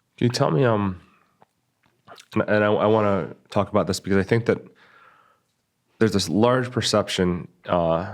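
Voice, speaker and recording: A man is speaking at a moderate pace. Behind him, the background stays quiet. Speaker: podcast host. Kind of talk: interview questions.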